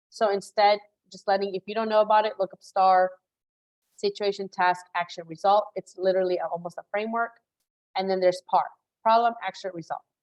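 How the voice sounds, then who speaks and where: A woman with a Spanish accent speaks in a flat monotone with big swings in loudness. The sound is dry and close, with no echo. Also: medium pitch for a woman. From Chicago, US Midwest. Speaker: career coach. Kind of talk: live webinar masterclass. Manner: fast, casual with many fillers.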